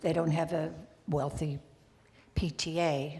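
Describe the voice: Her voice is low for a woman, with a dark, mellow tone.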